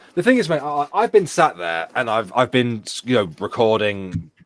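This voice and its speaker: A man talks with a British accent at a moderate pace. The sound is dry and close, with no echo. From Britain. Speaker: YouTube reaction creator. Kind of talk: casual chat. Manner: animated.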